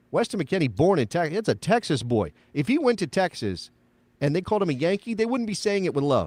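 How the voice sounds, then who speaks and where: A man with an American accent talks at a very fast pace with very wide pitch swings, in a dry, close sound with no echo. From United States. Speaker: soccer podcast host. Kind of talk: casual chat. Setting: live show.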